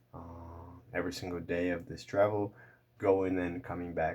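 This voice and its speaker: Very deep and low, a man's voice holds a monotone, flat intonation at a moderate pace in a very clean recording with a silent background. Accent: Portuguese. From Brazil. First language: Portuguese. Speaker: language learning youtuber. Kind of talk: casual vlog talk to camera. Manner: halting, many fillers and repeats.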